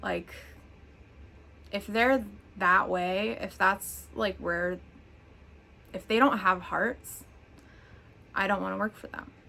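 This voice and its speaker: Long, frequent pauses and a very slow pace in a woman's speech. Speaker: mental health blogger. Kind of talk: casual talk to camera.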